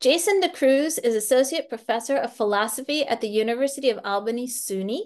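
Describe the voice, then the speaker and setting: A woman speaks at a moderate speed, with a quiet background behind her. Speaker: panel moderator. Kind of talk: reading panelist introductions. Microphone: video call.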